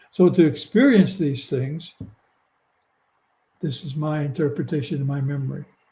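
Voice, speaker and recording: Somewhat breathy, with a dark, mellow tone, a man speaks at a fairly high pitch and a moderate pace. He uses ordinary pitch variation and leaves long, frequent pauses. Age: 80s+. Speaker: near-death experiencer. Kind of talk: interview. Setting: live video stream.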